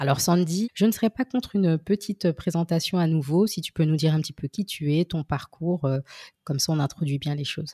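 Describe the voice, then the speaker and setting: A woman speaks at a fairly low pitch with ordinary variation, somewhat breathy and dark, mellow in tone. The sound is dry and close, with no echo. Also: fairly quick pace. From French Caribbean, Haitian descent. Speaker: podcast host. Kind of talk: casual interview chat; scripted intro. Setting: remote call.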